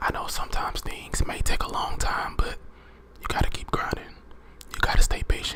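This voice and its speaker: Whispered words come at a fairly quick pace, with noticeable background noise behind them. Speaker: ASMR creator. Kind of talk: motivational affirmations talk to camera.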